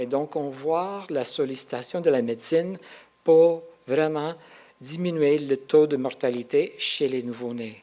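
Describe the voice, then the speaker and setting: Over a silent background in a very clean recording, a man with a non-native accent and a fairly high pitch talks at a very slow pace. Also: ordinary pitch variation. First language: not French; French is his third language (speaking French). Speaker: researcher and symposium speaker. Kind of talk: conference talk. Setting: symposium with audience. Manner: halting, with hesitations.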